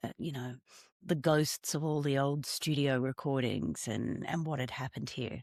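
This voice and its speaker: A woman with an Australian accent, very deep and low in pitch with vocal fry and ordinary pitch variation, at a moderate pace, in a very clean recording with a silent background and a dry, close sound with no echo. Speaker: singer-songwriter. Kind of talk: interview conversation. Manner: halting.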